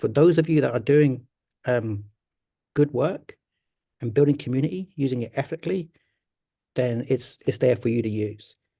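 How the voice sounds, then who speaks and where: This man has a medium pitch. His tone is dark and mellow. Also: long, frequent pauses. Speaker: storytelling consultant and folklorist. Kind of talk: online talk.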